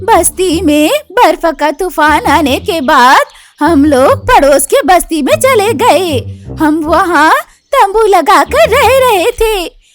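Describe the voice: A woman uses a cartoonish character voice at an extremely high pitch, speaking at a fairly slow pace.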